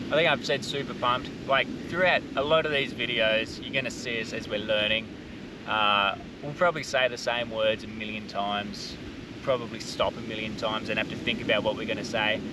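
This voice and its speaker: A man talks at a fairly quick pace with ordinary pitch variation, in a dry, echo-free sound over noticeable background noise. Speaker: family travel vlogger. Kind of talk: casual vlog chat. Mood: nervous, laughing, upbeat. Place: beach. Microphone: camera far.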